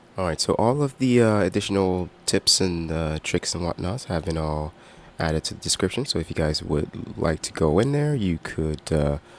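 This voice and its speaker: A man speaks with a very deep, low pitch at a moderate pace. His intonation is lively. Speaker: gaming streamer. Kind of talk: live gameplay stream commentary. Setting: live stream. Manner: hesitant, many fillers.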